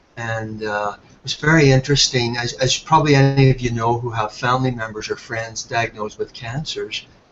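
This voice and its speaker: A man's medium-pitched voice, fairly quick with hardly any pauses, big swings in loudness, fairly even intonation, and noticeable background noise. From Ireland. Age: 60s. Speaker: health product entrepreneur. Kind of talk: webinar presentation.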